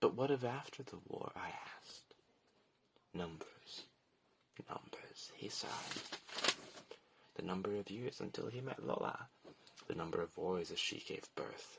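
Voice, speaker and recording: A man whispers at a fairly slow pace, with long, frequent pauses. Background noise is noticeable. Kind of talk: poetry reading.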